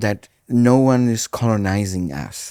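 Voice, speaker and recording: Here a man talks with a Brazilian Portuguese accent, dark and mellow in tone, with lively intonation. The recording is very clean with a silent background and sounds dry and close with no echo. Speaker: pastor. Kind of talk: casual chat. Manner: halting.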